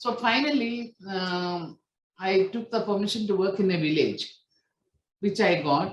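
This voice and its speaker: Somewhat breathy and medium in pitch, a woman's voice moves at a moderate pace with lively intonation. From India, Kerala. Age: 60s. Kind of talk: testimony. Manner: halting, many fillers.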